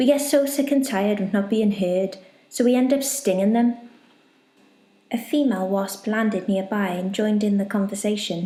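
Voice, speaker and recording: A woman speaks at a moderate pace in a fairly high, somewhat breathy voice with a dark, mellow tone and ordinary pitch variation. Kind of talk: bedtime story narration.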